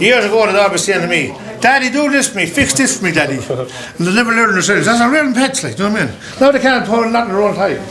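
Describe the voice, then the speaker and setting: A man's raised, projected voice, high in pitch, at a very fast pace with lively intonation, plus audible room echo and noticeable background noise. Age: 60s. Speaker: Irish traveller family head. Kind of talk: casual chat.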